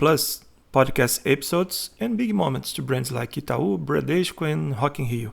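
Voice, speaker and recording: A man with a Brazilian Portuguese accent speaks at a fairly high pitch and a fairly slow pace, with very wide pitch swings and vocal fry. The recording is very clean with a silent background. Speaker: content writer. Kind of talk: self-promotional presentation.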